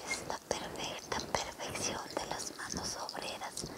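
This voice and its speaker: A woman whispers. Her pace is very slow. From Ecuador. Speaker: spiritual healer. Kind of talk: guided spiritual cleansing, ASMR healing session. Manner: soft-spoken, whispering, slow. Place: home room.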